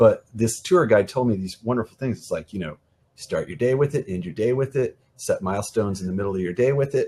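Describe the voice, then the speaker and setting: A somewhat breathy voice with an American accent, lively intonation, big swings in loudness and a fairly quick pace. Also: man, medium pitch for a man. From US Midwest. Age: 40s. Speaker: event art director and freelance designer. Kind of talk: podcast interview. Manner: halting, many fillers and repeats.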